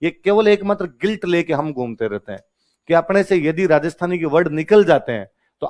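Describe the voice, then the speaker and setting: A man's animated voice in a Rajasthani accent, dry and close with no echo. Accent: Rajasthani village tinge in his Hindi. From Rajasthan, India (Marwari-speaking). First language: Marwari (Rajasthani) (speaking Hindi). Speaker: exam coaching teacher. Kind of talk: classroom lecture.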